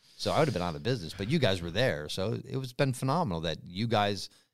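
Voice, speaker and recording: The recording is very clean, with a silent background. A man with an American accent talks at a fairly quick pace in a fairly low pitch with lively intonation. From Western Massachusetts, US. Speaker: real estate investor. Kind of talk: interview.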